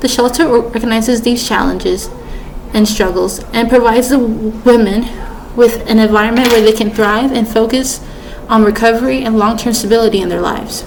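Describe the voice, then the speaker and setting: Flat and monotone, the speech comes at a fairly quick pace amid audible room echo and noticeable background noise. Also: woman. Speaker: student. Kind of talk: persuasive speech. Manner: halting.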